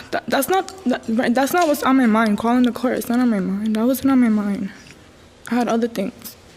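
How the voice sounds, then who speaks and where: Amid noticeable background noise, a woman talks at a fairly quick pace with a high pitch and ordinary pitch variation. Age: 20s. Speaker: defendant. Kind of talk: courtroom testimony. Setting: courtroom.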